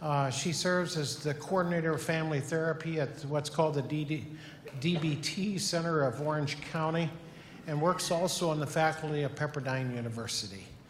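A man's fairly high voice holds fairly even intonation at a moderate pace, with noticeable background noise behind him. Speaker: pastor introducing guest. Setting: church.

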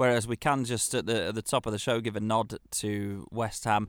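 A man with an English accent is heard on a very clean recording with a silent background and dry, close sound with no echo. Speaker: football podcast co-host. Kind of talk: casual chat.

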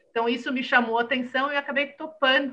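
In a raised, projected voice, a woman speaks at a high pitch with a bright, sharp tone and fairly even intonation. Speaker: entrepreneur and mental health startup founder. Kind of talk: interview conversation.

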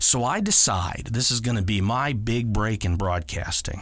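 A man with a fairly low pitch and an unremarkable speaking voice talks at a fairly slow pace with ordinary pitch variation. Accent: American. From Ohio, Akron area. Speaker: podcast host, video producer. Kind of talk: storytelling monologue.

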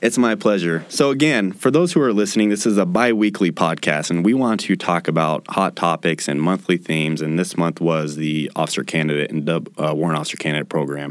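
A man with an Idaho accent speaks at a fairly quick pace with hardly any pauses, his very deep, low voice carrying lively intonation. Noticeable background noise runs underneath. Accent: American, Idaho. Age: 20s. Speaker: military podcast host, army officer. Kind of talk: interview podcast.

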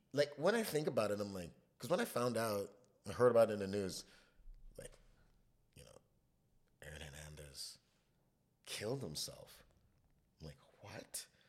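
A man with vocal fry, fairly low pitch, very wide pitch swings, big swings in loudness and long, frequent pauses. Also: moderate pace. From Trinidad. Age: 30s. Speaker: chef. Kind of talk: casual chat.

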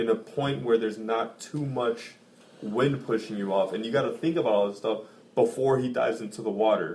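A man with an unremarkable speaking voice talks at a fairly quick pace. His fairly low pitch shows ordinary variation. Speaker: podcast guest. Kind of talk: casual chat. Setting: home recording with guests.

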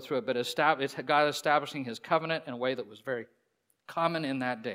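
On a very clean recording with a silent background, a man with a normal speaking voice and fairly high pitch talks at a fairly quick pace. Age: 50s. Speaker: pastor. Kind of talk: sermon. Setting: church.

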